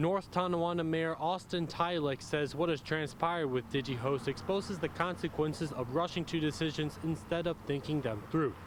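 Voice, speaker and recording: A man with an ordinary speaking voice talks at a moderate pace in a fairly high pitch, with ordinary pitch variation, very even loudness and hardly any pauses. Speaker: multimedia journalist. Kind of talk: TV news stand-up and anchor read.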